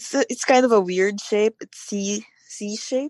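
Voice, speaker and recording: A woman's fairly high voice comes through with a dry, close sound and no echo. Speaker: caller. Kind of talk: casual call-in chat. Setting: phone call.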